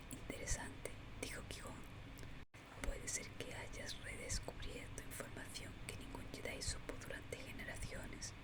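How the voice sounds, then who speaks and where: Someone whispers over noticeable background noise. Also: fairly slow pace. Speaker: audiobook narrator. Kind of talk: whispered audiobook reading. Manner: whispering; soft, relaxing.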